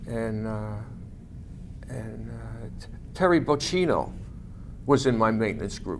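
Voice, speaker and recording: A man with an American accent speaks at a fairly slow pace with long, frequent pauses and big swings in loudness, with audible room echo. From New York City, Staten Island. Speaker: war veteran. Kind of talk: oral history interview. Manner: halting, many fillers.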